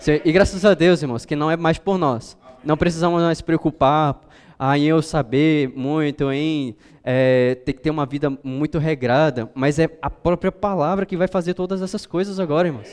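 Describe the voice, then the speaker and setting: A man's fairly high voice at a moderate pace, an unremarkable speaking voice with ordinary pitch variation. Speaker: preacher. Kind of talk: sermon.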